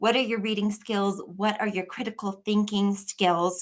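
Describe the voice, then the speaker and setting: A woman talks with a fairly high pitch. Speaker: online tutor for high school equivalency tests. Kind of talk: live stream Q&A. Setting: live stream.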